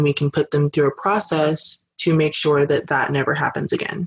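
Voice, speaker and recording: Over music in the background, a man with an American accent speaks with fairly even intonation. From Detroit, Michigan. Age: 20s. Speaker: activist and college student. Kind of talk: casual interview.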